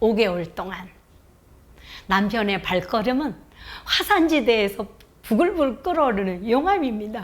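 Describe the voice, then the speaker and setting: At a fairly slow pace and fairly high pitch, a woman speaks with very wide pitch swings and long, frequent pauses. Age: 60s. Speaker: retired teacher and overseas volunteer. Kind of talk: personal talk on an online education broadcast. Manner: formal.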